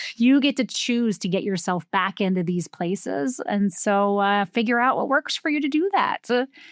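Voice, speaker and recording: With a New Jersey accent, a woman speaks at a medium pitch and moderate pace with lively intonation and hardly any pauses, in a dry, close sound with no echo over a quiet background. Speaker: podcast host. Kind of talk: casual conversation.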